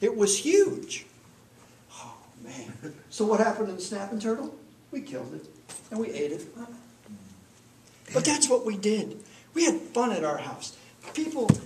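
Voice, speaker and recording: Over noticeable background noise, a man with an American accent speaks at a moderate pace and high pitch, with very wide pitch swings, big swings in loudness, and long, frequent pauses. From Minnesota. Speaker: Toastmasters club speaker. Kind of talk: humorous personal storytelling speech.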